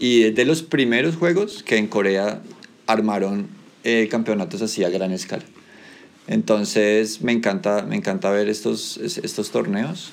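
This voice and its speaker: Using a plain, everyday voice, a man with a fairly low pitch speaks fairly slowly with lively intonation. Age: 30s. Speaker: teacher leading school podcast. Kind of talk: casual chat.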